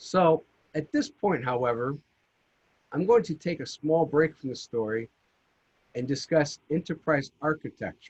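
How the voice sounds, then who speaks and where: Speaking at a fairly slow pace, a man has a fairly high pitch and ordinary pitch variation, with long, frequent pauses. The sound is dry and close with no echo. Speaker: GIS consultant presenter. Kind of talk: conference presentation. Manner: loud, projected voice.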